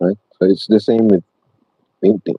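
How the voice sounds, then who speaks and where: A man with a non-native accent speaks at a moderate pace, his fairly low voice flat and monotone. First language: not English. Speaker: painting instructor. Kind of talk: tutorial. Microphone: poor mic, hoping for a better one.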